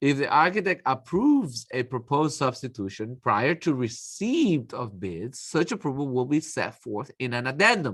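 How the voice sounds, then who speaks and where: This man's voice has a bright, sharp tone and swings very widely in pitch. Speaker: architecture instructor. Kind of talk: lecture. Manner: fast; casual, conversational.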